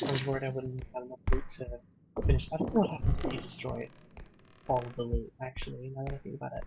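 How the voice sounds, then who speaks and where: This man is soft-spoken and talks at a very fast pace. His loudness swings widely. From Australia. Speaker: streamer. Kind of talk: gaming stream commentary. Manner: quiet, words not fully coming out.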